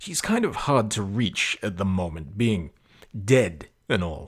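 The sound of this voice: Against a silent background in a very clean recording, a man does a put-on character voice with a fairly low pitch, a slightly husky edge, big pitch swings and a fairly slow pace.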